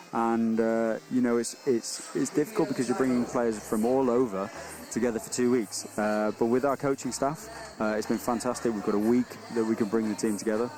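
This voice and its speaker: Against noticeable background noise, a man speaks at a fairly quick pace and medium pitch with fairly even intonation. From England. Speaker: colour commentator, team manager. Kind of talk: live commentary. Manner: halting.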